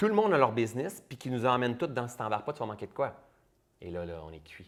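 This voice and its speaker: With a Quebec accent, a man speaks very fast at a medium pitch in an animated tone, with very wide pitch swings and big swings in loudness. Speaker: entrepreneur and public speaker. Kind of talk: interview conversation.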